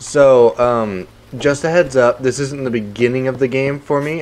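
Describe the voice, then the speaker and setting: A man's voice with noticeable background noise. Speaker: gaming streamer. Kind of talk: live stream gameplay commentary. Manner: casual, conversational.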